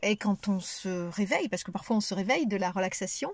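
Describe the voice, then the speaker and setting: A somewhat breathy woman at a fairly quick pace, in a dry, close sound with no echo. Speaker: relaxation practitioner and cancer survivor. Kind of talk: testimony. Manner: hesitant, many fillers; detached, calm.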